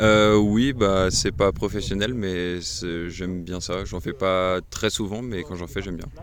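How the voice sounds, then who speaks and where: Very slow in pace, a man talks in a very deep, low pitch with ordinary pitch variation. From Brittany, France. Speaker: mountain hut worker. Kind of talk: casual interview. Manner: hesitant, many fillers.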